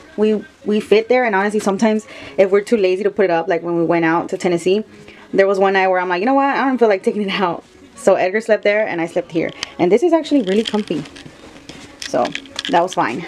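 A woman talks at a very fast pace with faint music in the background. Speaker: vlogger showing bus home. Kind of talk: casual vlog chat. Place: bus. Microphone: phone near.

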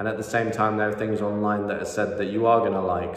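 A man with a fairly low voice speaks in a monotone, flat intonation, and the room echo is audible. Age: 20s. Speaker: MMA content creator. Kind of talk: solo commentary video. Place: home room. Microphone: phone near.

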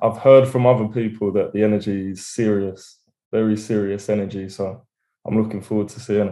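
A man in an Essex accent, fairly low and dark, mellow in tone, flat and monotone, at a fairly quick pace with big swings in loudness against a quiet background. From England, Essex. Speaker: rapper. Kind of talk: interview. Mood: relaxed, smiling. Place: home room. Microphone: video call.

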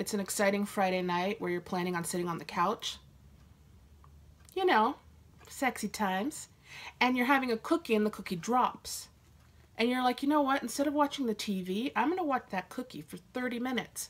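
A woman's voice at a moderate pace, with lively intonation and long, frequent pauses. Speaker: vlogger. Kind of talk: casual vlog chat. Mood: joking, playfully sarcastic. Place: home room. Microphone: phone near.

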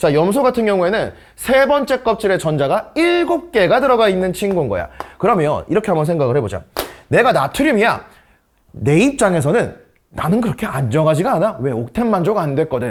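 A man with a high pitch speaks at a fairly quick pace, his pitch swinging very widely while his loudness stays very even. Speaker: science tutor. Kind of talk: lecture. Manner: casual lively teaching tone.

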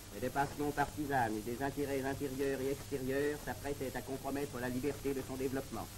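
A man's flat, monotone delivery in a solemn tone, fairly quick with hardly any pauses, over noticeable background noise. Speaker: documentary narrator. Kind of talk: 1930s newsreel narration. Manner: formal, solemn, declamatory; brisk, even and authoritative. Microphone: old recording.

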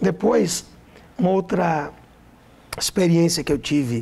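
A man speaks at a fairly slow pace, his voice making very wide pitch swings. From Brazil, Minas Gerais (Caratinga region); Minas Gerais, Brazil. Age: 40s. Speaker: pastor. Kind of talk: testimony. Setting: studio. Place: studio. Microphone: lapel.

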